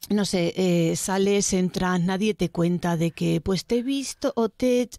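On a very clean recording with a silent background and a dry, close sound with no echo, a woman speaks at a very slow pace in a dark, mellow tone of medium pitch with ordinary pitch variation. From Spain, Buñol (Valencia region). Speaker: guest interviewee. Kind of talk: casual interview.

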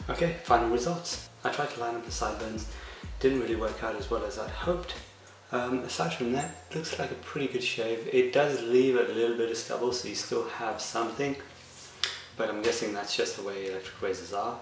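Music plays in the background as a man talks at a fairly quick pace amid audible room echo. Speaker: product reviewer. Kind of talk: product review talk.

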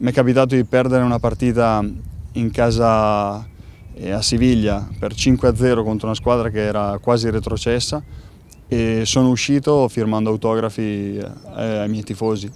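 A man's fairly slow, monotone, flat delivery, dry with no echo, over light background noise. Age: 30s. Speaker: professional footballer. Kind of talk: interview. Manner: halting, with many repeated words. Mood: calm, thoughtful. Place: stadium.

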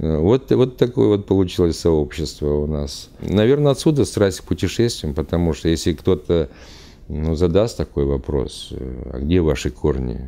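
This man's voice is very deep and low, with a dark, mellow tone. He talks at a fairly slow pace with lively intonation. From Uzbekistan. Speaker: traveler, retired military officer. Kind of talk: interview monologue; interview answer. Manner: halting. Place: studio.

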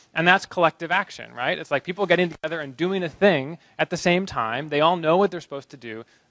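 Against a quiet background, a man with an American accent speaks at a high pitch, the sound dry with no echo. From US Northeast, Boston. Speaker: researcher giving a conference talk; conference speaker. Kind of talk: short conference talk. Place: hall. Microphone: handheld.

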